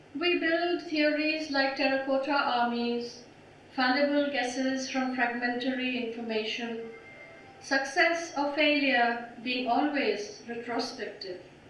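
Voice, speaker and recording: A woman speaks at a fairly slow pace in a high pitch, with ordinary pitch variation. Noticeable background noise is present. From India. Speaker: poet. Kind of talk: poetry reading.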